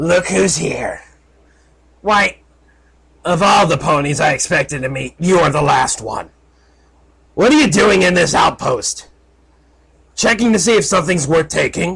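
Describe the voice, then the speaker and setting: Putting on a raspy character voice, a man speaks at a high pitch and moderate pace, leaving long, frequent pauses. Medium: read story.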